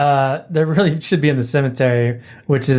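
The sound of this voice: The passage is delivered in an unforced reading voice.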